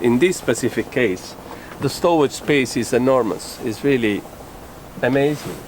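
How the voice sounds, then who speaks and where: Over noticeable background noise, a man with an Italian accent talks at a moderate pace and medium pitch, with ordinary pitch variation and long, frequent pauses. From Italy. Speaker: sailing vlogger, boat owner. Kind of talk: boat tour walkthrough. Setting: outdoors on a sailboat. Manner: hesitant, many filler sounds.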